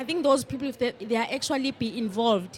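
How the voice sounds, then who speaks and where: In a South African accent, a woman speaks at a fairly high pitch with ordinary pitch variation. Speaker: panel participant. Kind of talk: panel discussion.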